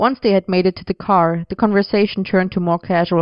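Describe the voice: The pitch holds fairly even in this plain reading aloud.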